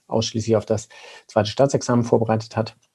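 Monotone, flat intonation carries a dark, mellow tone. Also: man. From Lower Saxony, Germany (Braunschweig). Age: 30s. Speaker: company co-founder, physician. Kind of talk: interview. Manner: halting, many filler sounds.

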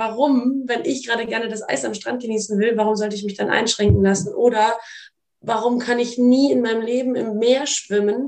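A woman has an unremarkable speaking voice with fairly high pitch and fairly even intonation. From Munich, Bavaria. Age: 20s. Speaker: model, influencer and actress. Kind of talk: casual conversation.

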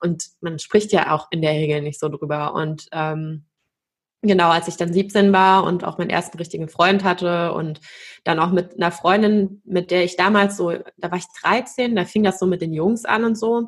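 A woman speaks in an ordinary speaking voice at a moderate pace with a fairly low pitch. Her intonation is fairly even, in a very clean recording with a silent background. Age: 30s. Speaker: consciousness coach and dance teacher. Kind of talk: interview about personal trauma and healing.

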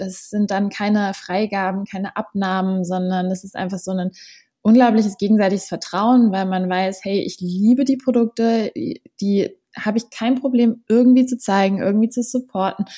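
On a very clean recording with a silent background, a woman speaks in a dark, mellow, somewhat breathy tone at a medium pitch with fairly even intonation. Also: moderate pace. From Berlin, Germany. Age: 20s. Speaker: social media influencer. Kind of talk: interview.

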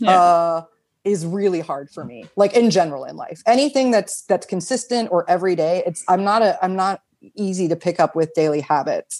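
The speech moves at a fairly quick pace with lively intonation against a quiet background. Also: woman, medium pitch for a woman. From United States. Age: 40s. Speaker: sex worker and sex educator. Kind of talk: interview. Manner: hesitant, many fillers.

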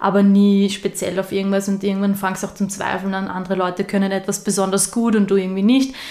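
Over noticeable background noise, the speech runs very fast in a monotone, flat intonation with hardly any pauses. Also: woman, medium pitch for a woman. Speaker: spiritual podcast co-host. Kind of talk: casual chat.

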